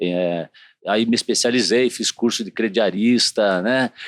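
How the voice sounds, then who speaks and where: A man with an ordinary speaking voice, fairly low in pitch and with ordinary pitch variation, is heard in a dry, close sound with no echo on a very clean recording with a silent background. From southern Brazil, Curitiba (Paraná). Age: 50s. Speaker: city councillor and TV journalist. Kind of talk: interview. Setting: studio.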